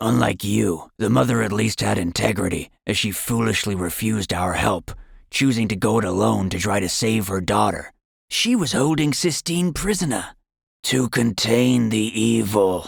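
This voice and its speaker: Growling and raspy, a man uses a put-on character voice with a menacing tone. His pitch sits fairly low. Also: moderate pace. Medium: read story. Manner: menacing, grim.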